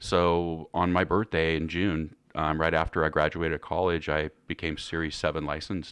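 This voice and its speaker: Against a quiet background, a man with an American accent and a very deep, low pitch speaks at a moderate pace in a monotone, flat way. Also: hardly any pauses. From California Central Valley. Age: 50s. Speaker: financial advisor. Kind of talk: casual interview.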